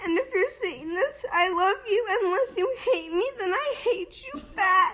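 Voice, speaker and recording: At a very slow pace, a woman speaks in a raised, projected voice with lively intonation. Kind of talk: casual vlog chat. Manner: slurred, drowsy anesthetized voice. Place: home room. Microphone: phone near.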